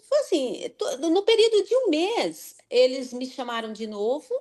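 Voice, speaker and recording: There is a quiet background as a woman talks very slowly, her pitch swinging very widely. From Brazil, Sorocaba, São Paulo state. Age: 50s. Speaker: nurse. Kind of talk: interview. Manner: halting.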